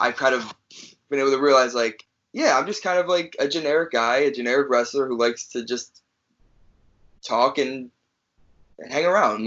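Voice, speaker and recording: Ordinary pitch variation and a moderate pace in the medium-pitched voice of a man. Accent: American. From Chicago. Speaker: pro wrestler. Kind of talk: interview. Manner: halting.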